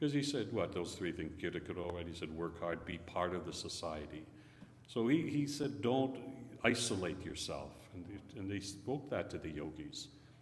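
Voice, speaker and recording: A man talks at a moderate pace with lively intonation. Audible room echo and noticeable background noise are present. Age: 70s. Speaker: visiting Sikh speaker. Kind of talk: religious talk with Q&A. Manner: conversational.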